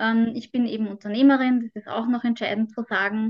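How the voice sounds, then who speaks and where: Fairly high-pitched, a woman speaks with an Austrian accent. Her intonation is monotone and flat, at a moderate pace. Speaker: mental trainer and migraine patient. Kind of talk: interview.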